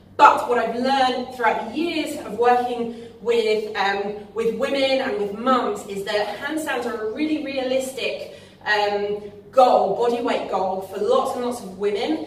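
With audible room echo, a woman with a high pitch speaks at a fairly slow pace and ordinary pitch variation. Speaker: fitness coach. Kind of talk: tutorial. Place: gym. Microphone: camera far.

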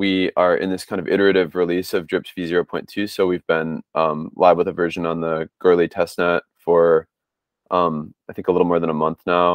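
Against a quiet background, a man with a very deep, low pitch talks in a monotone, flat intonation. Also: moderate pace, dry sound with no echo. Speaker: software developer. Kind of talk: presentation in work meeting. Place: home room. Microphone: earbuds.

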